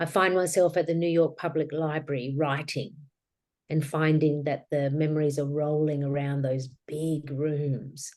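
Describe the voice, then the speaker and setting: A woman speaks with an Australian accent in a very deep, low pitch. Her intonation is monotone and flat. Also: fairly slow pace. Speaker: author and grief guide. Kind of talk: interview.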